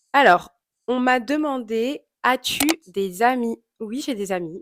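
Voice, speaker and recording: A woman with ordinary pitch variation. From Congolese heritage (both parents). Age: 20s. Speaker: YouTuber. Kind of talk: Q&A vlog, casual. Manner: casual, many filler hesitations.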